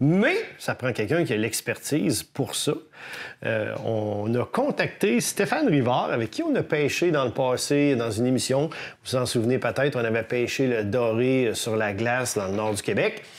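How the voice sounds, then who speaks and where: A man with a Quebec accent, medium pitch, ordinary pitch variation and a moderate pace. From Quebec City. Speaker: fishing show host. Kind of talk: interview.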